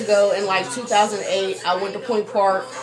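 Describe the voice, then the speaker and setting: Noticeable background noise and audible room echo accompany a woman speaking with an American accent. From Pittsburgh, Pennsylvania. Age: 20s. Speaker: radio host. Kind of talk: interview. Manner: loud.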